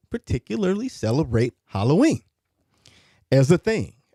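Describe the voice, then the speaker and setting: A man speaks at a fairly high pitch with a dark, mellow tone and very wide pitch swings. The sound is dry and close, with no echo. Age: 30s. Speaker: radio host. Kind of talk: casual chat. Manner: repetitive, halting.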